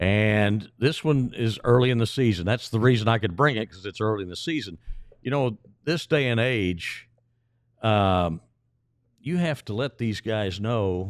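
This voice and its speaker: On a very clean recording with a silent background, a man with a medium pitch and a plain, everyday voice speaks at a moderate pace with ordinary pitch variation. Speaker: stadium public address announcer. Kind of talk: casual interview answer about promotional giveaways.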